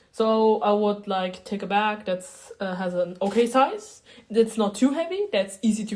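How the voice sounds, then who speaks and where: Ordinary pitch variation and a moderate pace from a woman with a medium-pitched voice. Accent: German. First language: German. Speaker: beginner video creator. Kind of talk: casual tutorial vlog. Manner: halting, many fillers.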